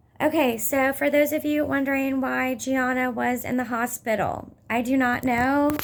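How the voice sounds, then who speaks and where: A woman's high-pitched, monotone, flat delivery at a moderate pace with hardly any pauses, amid noticeable background noise. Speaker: mother in custody dispute vlogging. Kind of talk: personal vlog update. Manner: agitated, hesitant with fillers.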